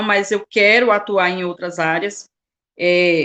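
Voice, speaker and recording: Against a quiet background, a woman is talking. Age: 40s. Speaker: motivational speaker. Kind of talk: testimony.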